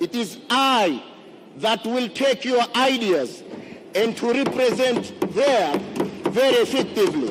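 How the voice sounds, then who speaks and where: Noticeable background noise sits behind this man. He speaks at a very slow pace with an extremely high pitch. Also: lively intonation, very even loudness. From Zanzibar, Tanzania. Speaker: member of parliament, candidate. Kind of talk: campaign speech in parliament. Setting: parliament chamber. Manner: formal.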